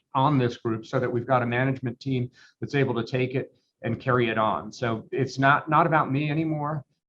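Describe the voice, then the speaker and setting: This man has an unremarkable speaking voice at medium pitch. He talks at a fairly quick pace with fairly even intonation. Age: 60s. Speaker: law firm owner. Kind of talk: interview.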